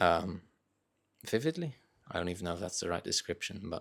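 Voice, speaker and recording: Very deep, low pitch from a man on a very clean recording with a silent background. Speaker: content creator. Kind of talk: casual monologue. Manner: some hesitations and restarts.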